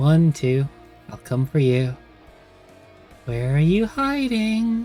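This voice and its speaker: Over faint music in the background, a put-on character voice at middle pitch delivers its lines at a very slow pace. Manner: creepy, taunting.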